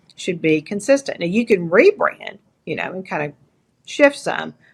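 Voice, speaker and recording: Lively intonation with an East Texas accent. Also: woman. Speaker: entrepreneur and leadership coach. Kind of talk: interview.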